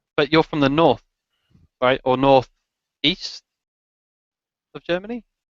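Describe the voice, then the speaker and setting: In a dry, close sound with no echo, a man with an English accent and fairly high pitch talks at a fairly slow pace, with ordinary pitch variation and long, frequent pauses. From England. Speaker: motovlogger. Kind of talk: casual chat. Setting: video call.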